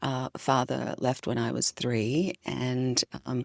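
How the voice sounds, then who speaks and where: In a slight Australian accent, a woman speaks with a very deep, low pitch, the sound dry and close with no echo. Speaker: leadership consultant and author. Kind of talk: podcast interview.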